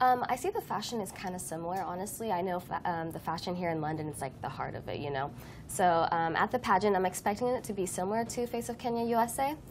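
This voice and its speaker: Delivered very fast in an American accent, the speech has lively intonation. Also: woman. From USA. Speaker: pageant winner. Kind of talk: TV interview.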